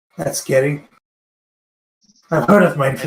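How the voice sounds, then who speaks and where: A man puts on a raspy character voice with a fairly high pitch. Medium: actual play.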